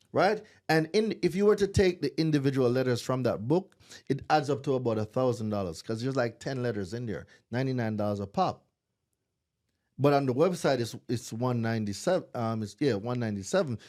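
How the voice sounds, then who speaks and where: An animated man with a Jamaican accent, on a very clean recording with a silent background. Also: medium pitch for a man, lively intonation, fairly quick pace. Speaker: credit repair business owner. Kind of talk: podcast interview.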